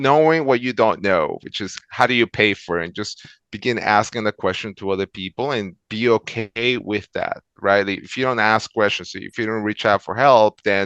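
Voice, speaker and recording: In a Spanish accent, a man with a fairly low pitch speaks at a moderate pace with hardly any pauses. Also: ordinary pitch variation, quiet background. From El Salvador. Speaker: transportation manager. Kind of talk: interview. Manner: many fillers and repetitions.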